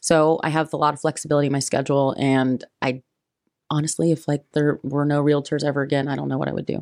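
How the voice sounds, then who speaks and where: With a Midwestern US accent, a woman talks very fast in a very deep, low voice that stays monotone and flat. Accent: US Midwest. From Indiana, US Midwest. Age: 20s. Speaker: real estate agent. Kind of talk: interview.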